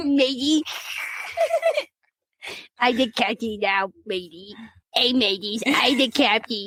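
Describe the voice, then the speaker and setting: In a put-on character voice, a female-sounding voice speaks at a fairly high pitch and a fairly slow pace with long, frequent pauses. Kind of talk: mock pirate. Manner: jokey.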